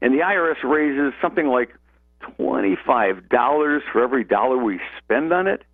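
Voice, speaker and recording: The voice is an ordinary speaking voice with an American accent. Its loudness stays very even. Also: man, medium pitch for a man, lively intonation, fairly quick pace. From US Midwest, Lorain County, Ohio. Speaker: tax attorney, legal analyst. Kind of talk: radio talk show debate.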